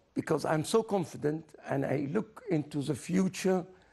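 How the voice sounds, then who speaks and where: Speaking at a fairly slow pace, a man with a dark, mellow tone and vocal fry lets his pitch swing very widely. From Egypt, raised in Germany from age twelve. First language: German. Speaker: scientist interviewed on TV. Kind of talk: TV interview. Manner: animated.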